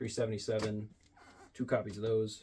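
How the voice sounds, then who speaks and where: A man's dark, mellow, somewhat breathy voice. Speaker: comic book collector and YouTuber. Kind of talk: casual show-and-tell video. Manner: fast.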